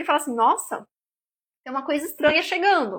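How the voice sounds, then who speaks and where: On a very clean recording with a silent background, a woman's raised, projected voice sits at a high pitch, bright and sharp, with very wide pitch swings. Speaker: nutritionist. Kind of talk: live stream talk. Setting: live stream.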